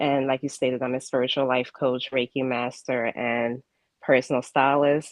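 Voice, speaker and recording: A woman's very deep, low voice, monotone and flat, at a moderate pace. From Ghana. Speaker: spiritual life coach. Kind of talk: interview. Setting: live broadcast. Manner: halting, with fillers.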